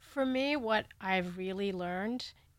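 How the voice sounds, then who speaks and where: A woman with an American accent has an unremarkable speaking voice at a medium pitch. She talks at a fairly slow pace with lively intonation, on a very clean recording with a silent background. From India then Canada and Southern California. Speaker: international climate reporter. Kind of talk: interview.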